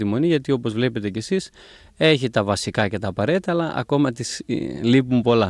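The sound is dry with no echo as a man talks at a fairly quick pace. His intonation is lively. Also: quiet background. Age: 30s. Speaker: abbot and priest; priest. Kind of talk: interview. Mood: calm, gentle. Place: garden. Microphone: handheld.

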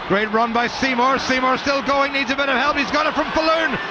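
Against noticeable background noise, a man speaks in a raised, projected voice at an extremely high pitch. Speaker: match commentator. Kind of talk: live rugby match commentary. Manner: rising urgency, dramatic in tense moments.

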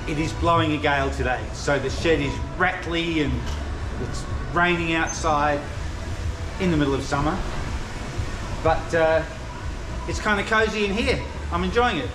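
A man at a moderate pace with long, frequent pauses amid noticeable background noise. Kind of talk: casual vlog chat. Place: workshop. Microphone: phone near.

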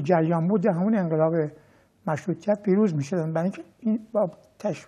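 A man's high-pitched voice with a dark, mellow tone. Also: quiet background. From Iran, Tehran. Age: 80s+. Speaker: sociologist and former political activist; interview guest. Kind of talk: interview. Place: studio. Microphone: lapel.

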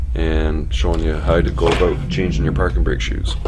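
There is noticeable background noise as a man with a very deep, low pitch speaks at a fairly quick pace. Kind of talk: tutorial. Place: garage. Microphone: phone near.

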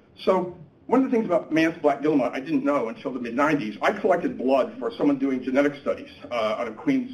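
A fairly high-pitched man's voice with an American accent and very wide pitch swings. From US Midwest (Cleveland, Ohio); Ohio. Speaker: seabird biologist. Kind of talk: lecture. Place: meeting room. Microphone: podium.

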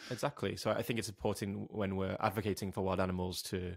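Speaking in a North Welsh accent at a very fast pace, the voice stays monotone and flat on a very clean recording with a silent background. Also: man. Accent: North Wales. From North Wales, Wrexham. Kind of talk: casual interview chat.

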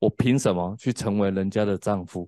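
With a Taiwanese accent, a man speaks at a fairly low pitch and a fairly slow pace, his tone dark and mellow and his intonation fairly even, over a quiet background. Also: dry sound with no echo. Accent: Taiwanese Mandarin. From Taiwan, Tainan. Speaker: preacher and former drug addict. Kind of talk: sermon and testimony. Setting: classroom, streamed online. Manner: hesitant, many fillers. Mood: earnest, reflective. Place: studio. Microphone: handheld.

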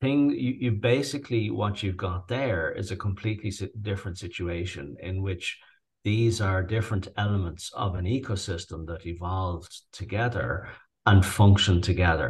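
Somewhat breathy, fairly slow speech in a Dublin accent, with ordinary pitch variation and a quiet background. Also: man. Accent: Irish (Dublin). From Dublin, Ireland. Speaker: rewilder, farmer and author. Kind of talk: interview answer.

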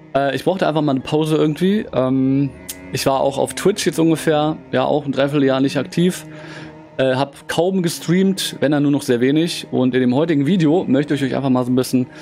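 A man with ordinary pitch variation and very even loudness over faint music in the background. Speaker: gaming streamer. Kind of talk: casual vlog chat. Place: home room.

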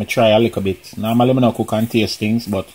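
With a Jamaican accent, a man speaks at medium pitch and a fairly slow pace. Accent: Jamaican, with patois features. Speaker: cooking channel host and comedian. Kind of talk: cooking tutorial. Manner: casual, chatty. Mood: cheerful, friendly. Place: kitchen. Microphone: phone near.

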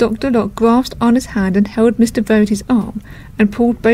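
In a natural voice, the words are read aloud.

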